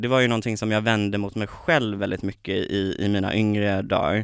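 There is no background sound at all on this very clean take. The audio feels dry and close, free of echo. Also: man. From Småland, Sweden (near Kalmar). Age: 20s. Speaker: TV personality and song contest participant. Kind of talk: casual interview. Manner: energetic.

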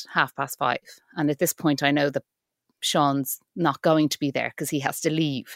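A woman's very deep, low voice in an Irish accent, with vocal fry, monotone, flat intonation and a moderate pace, on a very clean, dry, close recording with no echo and a silent background. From Ireland. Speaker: actor and writer, mother. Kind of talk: interview, personal story.

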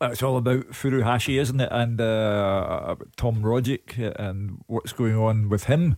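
At a fairly slow pace, a man talks with a slightly mellow tone. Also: medium pitch for a man, ordinary pitch variation.

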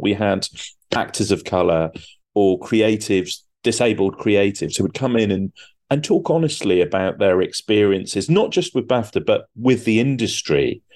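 With a British accent, a man speaks at a moderate pace with lively intonation. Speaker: TV producer. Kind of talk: interview.

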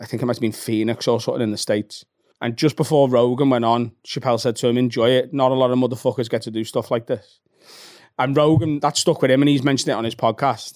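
A man with a Liverpool accent talks at a medium pitch. His pace is very fast. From Liverpool, England. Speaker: comedian. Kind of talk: casual chat. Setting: studio.

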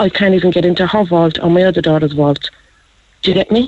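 This woman talks with an Irish accent at a medium pitch. Her pace is fairly quick. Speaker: caller, scam victim, mother. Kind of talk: phone-in call. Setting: phone call.

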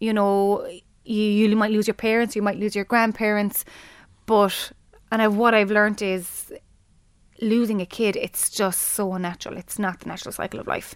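A woman with a Limerick accent, fairly high-pitched and monotone, at a moderate pace, in a very clean recording over a silent background. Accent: Irish (Limerick). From Ireland, Limerick. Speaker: teacher and bereaved mother. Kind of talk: interview, personal testimony. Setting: studio.

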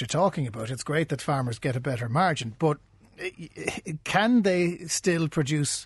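A man with a Cork accent against a quiet background. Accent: Cork Irish. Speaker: radio business podcast host. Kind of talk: interview.

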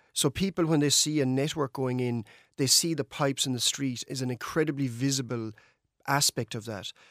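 On a very clean recording with a silent background, a man with a western Irish accent speaks fairly quickly with ordinary pitch variation. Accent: Irish (west of Ireland). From Ireland, County Mayo. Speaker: energy sector engineer. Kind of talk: radio interview.

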